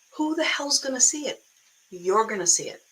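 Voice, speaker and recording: The speaker has an American accent and very wide pitch swings at a moderate pace. Noticeable background noise is present. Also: woman. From Boston area, US. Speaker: online business coach. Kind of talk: live stream talk. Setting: live video stream. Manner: animated, casual.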